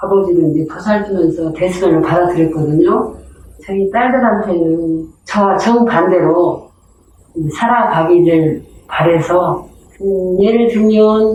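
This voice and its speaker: Audible room echo surrounds a woman's voice. She speaks very slowly with ordinary pitch variation. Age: 60s. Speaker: community storyteller. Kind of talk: personal testimony. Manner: hesitant, with fillers.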